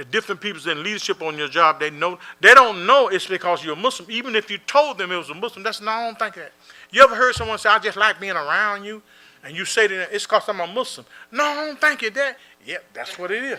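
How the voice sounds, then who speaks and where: A man's high, bright, sharp voice, raised and projected, racing at a very fast pace with lively intonation. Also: big swings in loudness. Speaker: imam. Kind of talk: Q&A talk.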